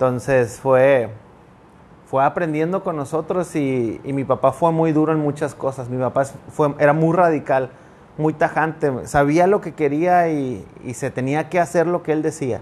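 Noticeable background noise sits behind a man speaking at a fairly slow pace. His pitch is fairly high, with ordinary pitch variation. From northern Mexico (Sabinas, Coahuila). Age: 30s. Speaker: pastor. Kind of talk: casual interview chat. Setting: studio with cameras.

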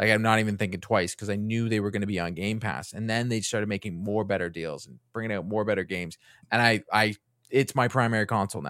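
Talking at a very fast pace, a man with an American accent keeps a fairly low pitch. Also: ordinary pitch variation, very clean recording, silent background. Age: 40s. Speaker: gaming content creator. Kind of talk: casual chat. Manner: halting, with frequent restarts.

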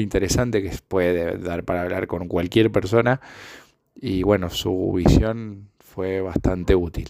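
Very deep, low male voice with fairly even intonation, at a fairly slow pace. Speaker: podcaster. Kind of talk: reflective solo monologue. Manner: halting, many filler sounds.

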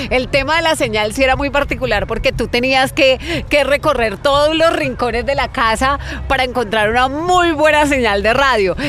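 With noticeable background noise behind her, a woman with a high pitch speaks at a moderate pace with hardly any pauses, very even loudness and ordinary pitch variation. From Colombia, Florencia, Caquetá. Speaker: radio presenter. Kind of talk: interview conversation.

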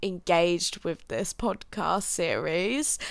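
A woman talks with a London accent. Her pace is very slow. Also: very clean recording, silent background. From England, London. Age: 20s. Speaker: podcaster. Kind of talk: casual solo monologue.

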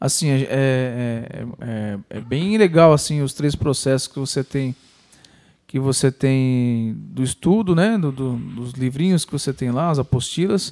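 A man speaks very slowly at a medium pitch with a dark, mellow tone. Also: ordinary pitch variation, very clean recording, silent background. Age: 30s. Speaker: podcast host. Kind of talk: casual chat.

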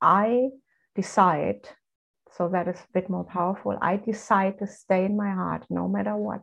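Here a woman talks at a moderate pace. She has a German accent. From Germany. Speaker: spiritual coach. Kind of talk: casual chat.

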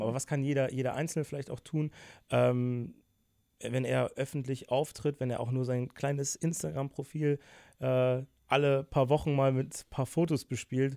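Medium in pitch, a man speaks at a moderate pace with fairly even intonation. He has an unremarkable speaking voice, and the recording is very clean with a silent background. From Germany, Bonn (Rhineland). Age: 20s. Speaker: YouTuber. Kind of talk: casual interview.

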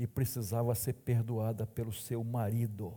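A somewhat breathy man's voice, medium in pitch and dark, mellow in tone, at a fairly slow pace. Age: 60s. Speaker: pastor. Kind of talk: sermon. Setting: church.

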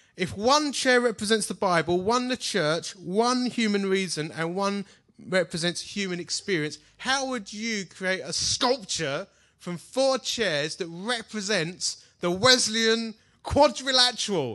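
Raised, projected voice with a bright, sharp tone, lively intonation and a fairly slow pace. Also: man, high pitch for a man. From Essex, England. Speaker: pastor. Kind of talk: conference seminar teaching, informal preacher-style talk with audience participation. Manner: brisk, upbeat instructional.

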